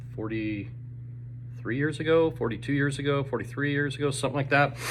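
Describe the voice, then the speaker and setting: Audible room echo surrounds a man who talks fairly quickly at a medium pitch, somewhat breathy, with fairly even intonation. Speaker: teacher. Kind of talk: casual video update to students. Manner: fast.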